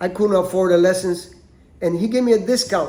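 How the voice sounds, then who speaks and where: Speaking with a Spanish accent, a man has a high-pitched voice. His pace is moderate. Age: 60s. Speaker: podcast host, martial arts teacher. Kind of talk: personal monologue. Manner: animated; halting, repeats words.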